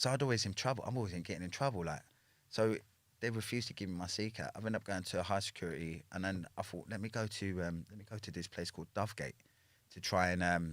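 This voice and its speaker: Over a silent background on a very clean recording, a man with a London accent talks at a very fast pace in a fairly low pitch with ordinary pitch variation. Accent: London street English. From Northwest London, England. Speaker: former prisoner telling his life story. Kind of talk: casual interview.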